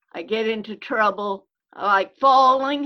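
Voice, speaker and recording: A woman speaks at a fairly high pitch with ordinary pitch variation. Her tone is bright and sharp. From rural Illinois, US. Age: old. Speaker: church member, centenarian guest. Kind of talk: casual interview, storytelling.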